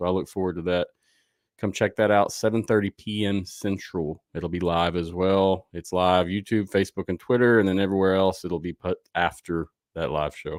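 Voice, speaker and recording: On a very clean recording with a silent background and a dry, close sound with no echo, a man with a Southern US accent speaks at a fairly low pitch, a moderate pace and fairly even intonation. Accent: Southern twang. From US South. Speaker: sports podcast host. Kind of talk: live show outro. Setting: livestream. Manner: casual, conversational.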